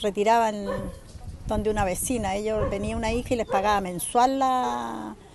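A woman speaks at a moderate pace over noticeable background noise, the sound dry with no echo. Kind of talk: interview answer. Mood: saddened, concerned. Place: street. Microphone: phone near.

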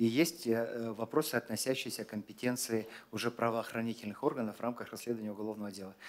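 The man's speech races along very fast. His pitch rises and falls only a little, keeping fairly even. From Kazakhstan. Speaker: government minister. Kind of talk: press briefing answers. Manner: formal. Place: hall. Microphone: podium.

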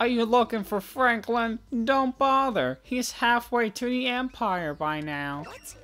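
This is a put-on character voice, nasal and fairly high in pitch. It moves at a fairly slow pace. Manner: snotty, dismissive.

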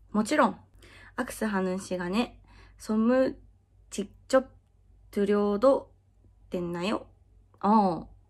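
Against a quiet background, a woman speaks at a fairly slow pace with long, frequent pauses. Her pitch variation is ordinary. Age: 20s. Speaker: adult video actress. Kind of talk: casual Q&A chat. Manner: frequent laughter. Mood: cheerful, friendly. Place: home room.

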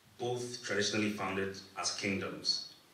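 Audible room echo and light background noise surround a man speaking at a moderate pace in a fairly low pitch. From Ghana. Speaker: event founder. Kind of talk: formal speech. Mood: warm, lightly humorous. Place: hall. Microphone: podium.

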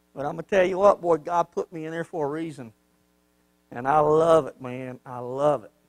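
Animated in tone, a man speaks at a fairly quick pace with ordinary pitch variation and big swings in loudness, in a dry sound with no echo against a quiet background. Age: 50s. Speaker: pastor. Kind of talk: sermon. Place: church. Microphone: handheld.

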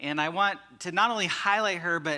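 Over a quiet background, a man talks at a moderate pace in a bright, sharp tone with ordinary pitch variation. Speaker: pastor. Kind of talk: sermon. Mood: somber then warm. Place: church.

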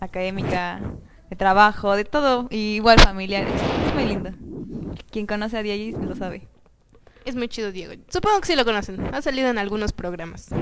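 A woman at a moderate pace with long, frequent pauses, over noticeable background noise. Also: ordinary pitch variation. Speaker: show host. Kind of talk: casual talk show chat. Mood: cheerful, laughing. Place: studio. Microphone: headset.

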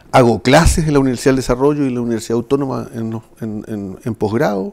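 The pace stays moderate. Pitch shifts in an ordinary way. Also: man. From southern Chile, Chiloé (Ancud); southern Chile. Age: 60s. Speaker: municipal administrator and former official; interview guest. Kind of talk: political interview. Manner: halting, repeating words. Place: studio.

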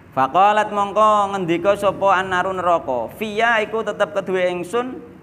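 A man's high voice at a very slow pace, with ordinary pitch variation and light background noise. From Java, Indonesia. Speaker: Islamic preacher. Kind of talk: religious study lecture. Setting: mosque. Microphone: studio mic.

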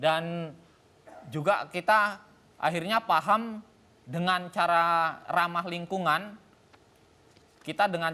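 A man with a high pitch speaks in a bright, sharp tone with ordinary pitch variation. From Medan, North Sumatra, Indonesia; North Sumatra, Indonesia. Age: 40s. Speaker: farmer; guest. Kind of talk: TV talk show interview; speech.

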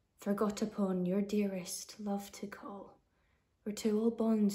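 A woman speaks at a very slow pace in a monotone with flat intonation. Her tone is dark and mellow, and somewhat breathy. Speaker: actor. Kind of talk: poetry reading. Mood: earnest, pleading. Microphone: phone near.

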